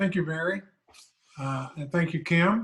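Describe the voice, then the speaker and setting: In a Midwestern US accent, a man speaks at a fairly slow pace with a bright, sharp tone and ordinary pitch variation. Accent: US Midwest. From Kansas, El Dorado. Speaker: local election candidate. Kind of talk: candidate forum speech.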